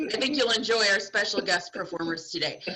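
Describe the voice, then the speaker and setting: A woman with a fairly high pitch and lively intonation speaks over noticeable background noise. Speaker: game host at school assembly. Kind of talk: game show hosting. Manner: loud.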